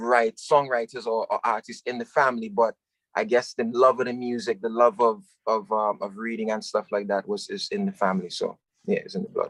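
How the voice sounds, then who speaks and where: A man with an American accent talks at a medium pitch and a fairly quick pace, his intonation lively. The sound is dry and close, with no echo. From New York (Harlem/Brooklyn), West Indian household. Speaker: singer-songwriter. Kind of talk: interview.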